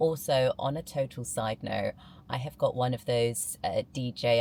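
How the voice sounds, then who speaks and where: This woman's very deep, low voice carries vocal fry and ordinary pitch variation as she talks at a fairly slow pace. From southern England, Buckinghamshire. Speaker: amateur bodybuilder, vlogger. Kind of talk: casual vlog. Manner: casual, with fillers.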